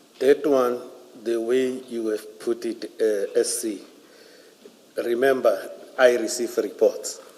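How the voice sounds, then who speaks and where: Noticeable background noise runs under this recording. A man speaks at a very slow pace. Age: 50s. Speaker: police general testifying as witness. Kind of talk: inquiry testimony. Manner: halting.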